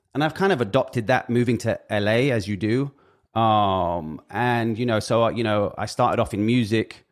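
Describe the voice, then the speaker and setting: At a moderate pace, a man with a British accent talks in a medium pitch with ordinary pitch variation. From Britain. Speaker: music industry figure. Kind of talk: casual chat. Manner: halting.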